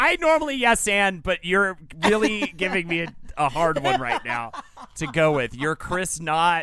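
A man speaks at a fairly slow pace in a high pitch. His tone is bright and sharp, with lively intonation. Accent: American. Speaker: podcast co-host. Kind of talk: casual chat.

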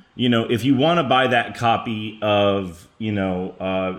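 In an American accent, a man speaks at a fairly slow pace with a fairly low pitch and ordinary pitch variation. Room echo is audible. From Texas, Garland near Dallas. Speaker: comic book writer. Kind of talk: interview.

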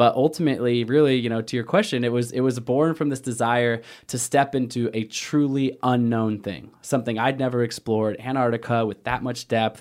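A man with an American accent and a plain, everyday voice, medium-pitched and fairly even in intonation, at a fairly quick pace over a very clean, silent background. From Portland, Oregon. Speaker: adventurer and endurance athlete. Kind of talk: interview.

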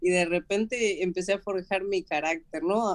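A woman speaks at a medium pitch. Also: dry, close sound with no echo. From Argentina. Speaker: mixed martial arts fighter. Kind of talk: interview.

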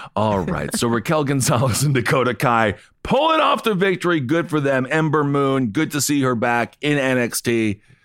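A man speaks in a normal speaking voice at a medium pitch and a moderate pace. His intonation is lively, and the recording is very clean with a silent background. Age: 30s. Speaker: wrestling and sports podcast co-host. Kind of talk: casual chat.

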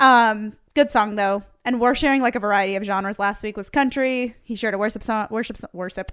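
Hardly pausing, a woman talks at a fairly quick pace in a fairly high pitch with fairly even intonation. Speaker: podcast host. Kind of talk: casual chat. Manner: fast.

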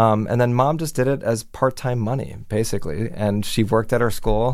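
At a moderate pace, a man with an American accent speaks at a medium pitch. It is an unremarkable speaking voice. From Miami, Florida. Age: 40s. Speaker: television news executive producer. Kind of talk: interview. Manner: casual with frequent fillers.

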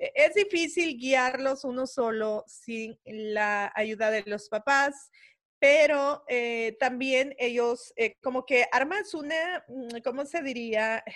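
A woman's high voice moves at a very slow pace. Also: lively intonation. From El Salvador. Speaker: podcast host. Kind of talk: casual chat.

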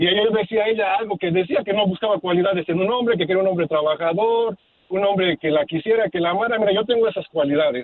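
A man with a high voice talks at a very fast pace, his loudness very even. His pitch varies in an ordinary way. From Mexico, Puebla. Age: 30s. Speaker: caller. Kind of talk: casual chat.

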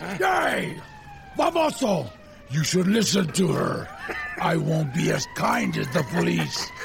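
Put-on character voice from a man, fairly slow pace, long, frequent pauses, clear background noise. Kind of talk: pulpy retro radio serial. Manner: defiant, threatening, grandiose.

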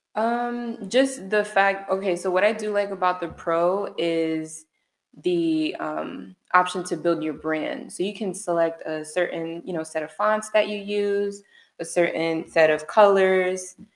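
In an American accent, a woman talks at a medium pitch and a fairly slow pace with ordinary pitch variation. It is a plain, everyday voice. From Orlando, Florida. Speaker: realtor. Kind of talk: interview answers. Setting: studio.

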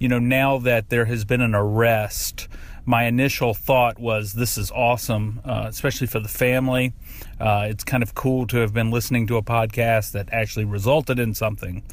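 Over noticeable background noise, a man with an American accent talks fairly quickly at a medium pitch in a monotone, with flat intonation. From US South. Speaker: listener sending voice memo. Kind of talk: voice memo. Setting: recorded voice memo.

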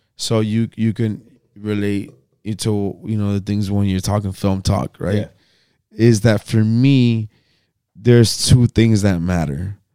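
A man with a dark, mellow tone and fairly low pitch speaks at a very slow pace, with long, frequent pauses. His intonation is fairly even, and the sound is dry and close with no echo. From Miami, Nicaraguan family. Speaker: filmmaker. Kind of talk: casual chat.

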